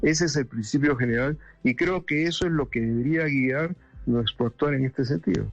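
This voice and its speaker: A man's fairly high voice with ordinary pitch variation, very even loudness and a moderate pace over music in the background. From Peru, Lima. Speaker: government planning director and economics professor. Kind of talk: radio interview.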